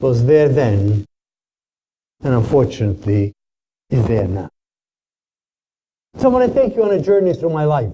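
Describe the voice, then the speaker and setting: A man speaks at a moderate pace and medium pitch, with very wide pitch swings and long, frequent pauses. His tone is dark, mellow and somewhat breathy, in a dry, close sound with no echo. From Czechoslovakia. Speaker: Holocaust survivor and lecturer. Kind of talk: testimony lecture.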